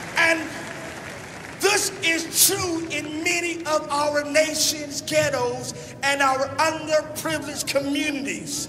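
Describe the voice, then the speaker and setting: Over crowd noise in the background, a man speaks in an extremely high pitch with a raised, projected voice and a passionate tone. His intonation is monotone and flat, and his pace is very slow. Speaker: pastor, televangelist. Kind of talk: political convention speech. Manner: passionate, rousing.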